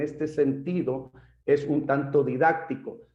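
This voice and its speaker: A man with a plain, everyday voice, fairly high-pitched, at a fairly slow pace. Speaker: pastor. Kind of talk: lecture.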